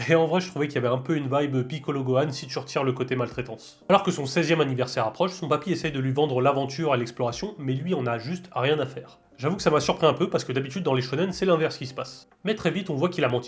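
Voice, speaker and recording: A man's fairly high, somewhat breathy voice at a very fast pace with hardly any pauses and ordinary pitch variation. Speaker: anime reviewer. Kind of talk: casual talk to camera.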